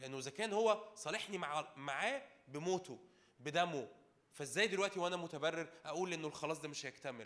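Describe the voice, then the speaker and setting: A man speaks in a fairly high, animated voice with lively intonation. His pace is moderate. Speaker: preacher. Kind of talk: sermon. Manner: calm, unable to raise voice.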